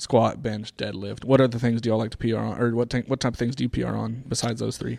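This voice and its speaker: A man talks at a very fast pace with hardly any pauses, in a dark, mellow tone with vocal fry. His medium pitch stays monotone, with flat intonation. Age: 30s. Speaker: fitness podcast co-host. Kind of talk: casual chat. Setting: gym room studio.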